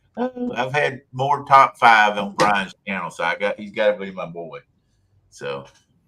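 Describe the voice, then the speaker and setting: A man at a fairly slow pace, with big swings in loudness. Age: 60s. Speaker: fishing YouTuber. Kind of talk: casual chat. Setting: live stream.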